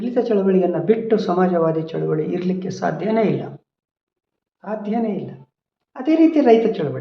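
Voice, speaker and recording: A man's high-pitched voice with lively intonation and audible room echo. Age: 60s. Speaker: social activist. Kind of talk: personal testimony. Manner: halting.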